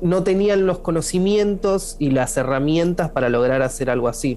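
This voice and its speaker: Here is a man with an Argentine accent. His pitch varies in an ordinary way. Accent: Argentine Spanish (Rioplatense). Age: 30s. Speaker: musician. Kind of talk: interview.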